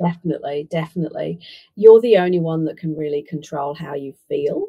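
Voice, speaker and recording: Somewhat breathy, a woman with a fairly low pitch talks at a fairly quick pace. Her pitch varies in an ordinary way while her loudness swings widely. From UK. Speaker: business consultant. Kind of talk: podcast interview.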